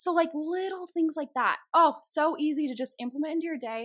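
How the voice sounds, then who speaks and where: A woman with an American accent speaks very fast in an animated tone. Her intonation is lively, and the recording is very clean with a silent background. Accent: slight Chicago accent, comes out at times. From Chicago, US Midwest. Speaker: podcast host and guest. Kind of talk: casual chat. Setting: video recording.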